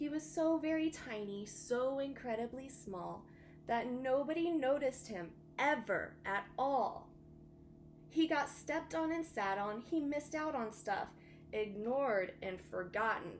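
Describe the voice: A woman's high-pitched voice at a fairly slow pace, with lively intonation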